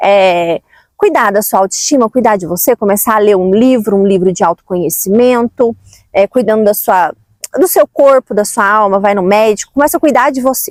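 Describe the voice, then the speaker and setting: A woman's fairly high voice at a moderate pace, with ordinary pitch variation, very even loudness, and a dry, close sound with no echo. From Brazil, Minas Gerais (Uberlândia). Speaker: self-help vlogger. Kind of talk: casual motivational talk.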